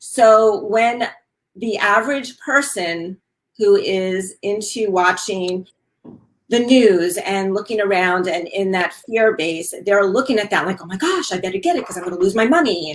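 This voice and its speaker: Speaking with a New York accent, a woman talks at a medium pitch with ordinary pitch variation. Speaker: wellness talk show host. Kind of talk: casual chat.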